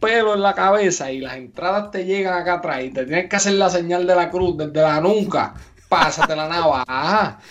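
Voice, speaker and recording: Delivered at a moderate pace, the talk has hardly any pauses. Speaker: podcast co-host. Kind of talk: casual chat.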